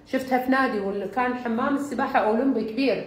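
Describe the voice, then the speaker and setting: A woman's fairly high voice in a Bahraini accent. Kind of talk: humorous talk about exercise.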